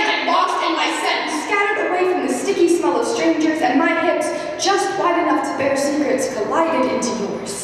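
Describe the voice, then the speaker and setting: With noticeable background noise behind her, a woman speaks at a moderate pace, her pitch extremely high and her intonation lively. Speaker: spoken word poet. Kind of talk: slam poetry performance.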